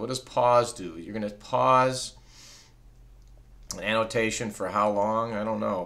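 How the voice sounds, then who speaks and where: A man's plain, everyday voice at medium pitch with fairly even intonation. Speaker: teacher. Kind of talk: tutorial.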